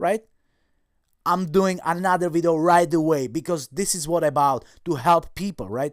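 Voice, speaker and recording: A man speaks in an animated tone with a non-native accent, his pitch high with ordinary variation. The pace is moderate, and the recording is very clean with a silent background. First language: not English. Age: 40s. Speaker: online seller and YouTuber. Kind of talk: casual vlog talk to camera. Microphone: new microphone.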